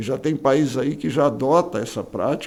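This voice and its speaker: This man talks at a fairly high pitch. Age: 60s. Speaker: politician and pastor. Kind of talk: interview. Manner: calm.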